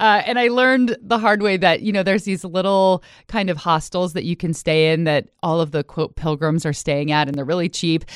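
A woman with an American accent has an unremarkable speaking voice, fairly low in pitch with ordinary pitch variation. She talks at a fairly quick pace with hardly any pauses over a quiet background. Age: 40s. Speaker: journalist. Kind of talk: casual interview chat.

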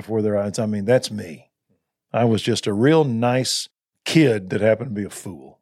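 A man speaks with a Texan accent at a fairly quick pace. The recording is very clean and the background silent. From Texas (Waco). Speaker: pastor. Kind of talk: interview. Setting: studio.

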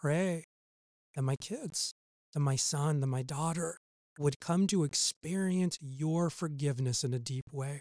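A man talks at a moderate pace with ordinary pitch variation, an unremarkable speaking voice. The sound is dry and close with no echo. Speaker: church parenting podcast host. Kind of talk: podcast Bible teaching; modeled fervent intercessory prayer spoken aloud as an example. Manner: warm, earnest, pleading tone while voicing the prayer; casual, upbeat and friendly.

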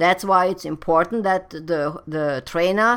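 A woman in a German accent, fairly low in pitch with ordinary pitch variation, at a fairly slow pace, on a very clean recording with a silent background. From Germany. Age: 50s. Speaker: personal trainer and podcast host. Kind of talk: solo advice monologue.

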